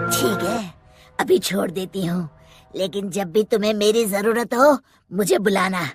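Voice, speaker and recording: A woman does a cartoonish character voice at a medium pitch and moderate pace, with faint music in the background. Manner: fierce, domineering.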